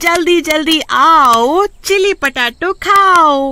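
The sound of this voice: Putting on a character voice, a woman talks very slowly in a high, bright, sharp tone with lively intonation.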